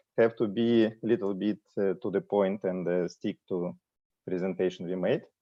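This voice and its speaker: In a Russian accent, a man speaks at a moderate pace with a fairly low pitch and fairly even intonation. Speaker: ship fleet manager. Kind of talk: corporate presentation. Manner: hesitant, many fillers.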